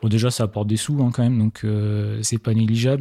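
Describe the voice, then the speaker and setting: In a very clean recording with a silent background, a man speaks in a dark, mellow tone with monotone, flat intonation. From Marne, Champagne-Ardenne, France. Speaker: drone company founder. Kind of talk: interview. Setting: apartment recording.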